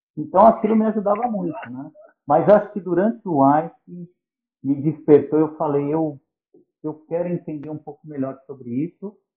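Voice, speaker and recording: An ordinary speaking voice from a man, fairly high in pitch, at a moderate pace, with lively intonation and big swings in loudness. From São Paulo, Brazil. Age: 50s. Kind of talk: podcast interview.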